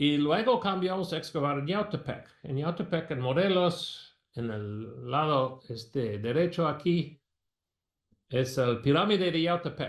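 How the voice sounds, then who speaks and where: A man with an American accent talks at a very slow pace and a fairly high pitch. His intonation is lively, with audible room echo around him. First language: English (speaking Spanish). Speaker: archaeology professor. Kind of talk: lecture. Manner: halting.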